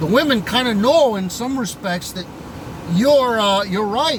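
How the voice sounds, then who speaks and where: Audible room echo and noticeable background noise surround a man talking fairly slowly. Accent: Upper Midwestern. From upper Midwest US. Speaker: online commentator. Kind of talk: vlog monologue. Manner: halting, frequent repetitions and fillers.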